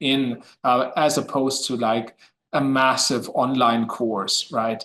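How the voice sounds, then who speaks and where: A man with a German accent, medium pitch and a fairly slow pace. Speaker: history professor. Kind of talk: academic discussion. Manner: halting, many fillers.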